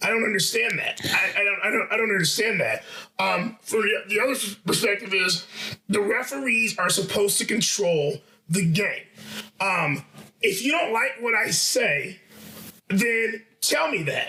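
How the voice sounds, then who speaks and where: Over noticeable background noise, a raised, projected voice comes at a moderate pace with very even loudness and ordinary pitch variation. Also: man, high pitch for a man. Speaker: basketball coach. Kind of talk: podcast discussion. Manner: animated. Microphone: audio issues from adjusted setup.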